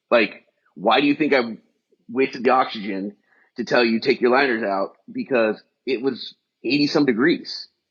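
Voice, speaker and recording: A man at medium pitch, with long, frequent pauses. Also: ordinary pitch variation. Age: 50s. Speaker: fire department strength and wellness coach. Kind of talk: casual interview chat. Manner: fast; animated.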